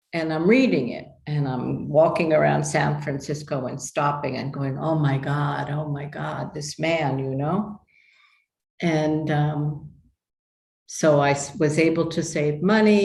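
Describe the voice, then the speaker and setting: This woman has a very deep, low pitch and a somewhat breathy voice with an American accent. She talks at a fairly slow pace with ordinary pitch variation. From New York. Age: 70s. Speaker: human design teacher. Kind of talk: interview testimony. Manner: halting.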